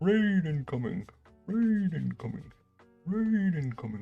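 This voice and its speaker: A put-on character voice at a middle pitch, moving at a fairly slow pace. Faint music plays in the background. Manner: urgent, repeated alert.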